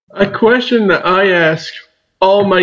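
With a Maritime Canadian accent, a man speaks at a high pitch. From southwestern New Brunswick, Canada. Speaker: student podcast host. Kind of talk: interview.

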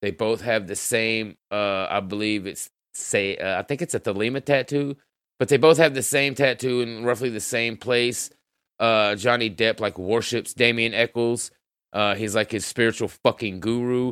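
In an ordinary speaking voice, a man talks at medium pitch and a moderate pace with ordinary pitch variation. The sound is dry and close, with no echo. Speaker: podcast host. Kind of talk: extremist podcast monologue, crude and profane, ranting, with angry rant stretches. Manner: profane, rambling, casual, shifting to loud furious ranting.

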